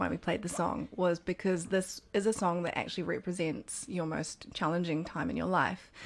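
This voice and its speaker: A woman with a New Zealand accent, medium pitch, fairly even intonation and a moderate pace. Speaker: radio host. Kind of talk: radio interview. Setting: radio studio.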